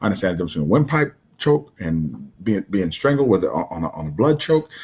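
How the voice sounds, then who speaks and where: Somewhat breathy, a man with a fairly low pitch races along at a very fast pace, his voice swinging very widely in pitch. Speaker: martial arts coach and motivational speaker. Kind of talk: motivational talk. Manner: repetitive, stammering.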